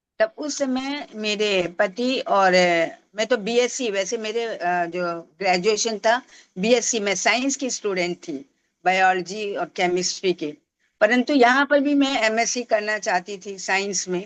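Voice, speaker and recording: Against a quiet background, a woman talks with a fairly high pitch and lively intonation. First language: Tamil (speaking Hindi). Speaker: Hindi professor and language promoter. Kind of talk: interview. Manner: halting, with fillers.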